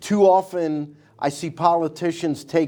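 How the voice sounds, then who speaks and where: A man is speaking. His pitch sits fairly high. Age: 60s. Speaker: county commissioner candidate. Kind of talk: interview.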